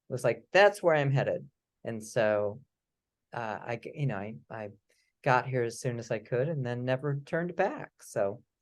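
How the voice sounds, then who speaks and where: Lively in intonation, a man with a slight Midwestern accent talks at a medium pitch and a moderate pace. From US Midwest, St. Louis, Missouri. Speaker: writer. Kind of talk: casual chat.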